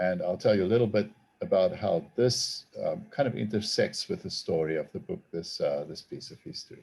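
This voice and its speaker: A man with a South African accent at a moderate pace, his loudness swinging widely. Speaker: theology professor and author. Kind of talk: talk to a group. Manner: halting.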